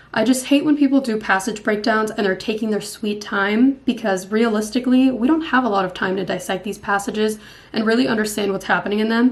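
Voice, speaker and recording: Her pitch sits fairly high, and the rise and fall is ordinary. This woman talks at a very fast pace with hardly any pauses. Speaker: MCAT test-prep student youtuber. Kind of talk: tutorial.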